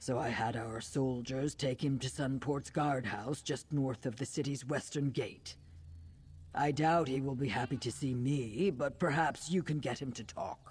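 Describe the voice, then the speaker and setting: A put-on character voice, low-to-middle pitch, at a moderate pace. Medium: video game. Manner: formal, measured.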